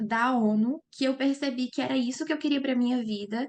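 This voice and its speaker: Ordinary pitch variation in a woman's high voice, moving at a moderate pace. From Brazil, Minas Gerais. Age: 20s. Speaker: lawyer and master's student. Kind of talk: interview.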